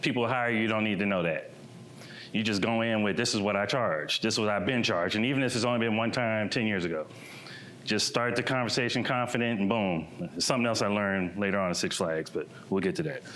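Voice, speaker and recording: With an American accent and audible room echo, a man speaks at a very fast pace in a fairly low voice, his loudness very even and his pitch varying in an ordinary way. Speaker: painter and muralist. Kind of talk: presentation talk. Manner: casual, conversational.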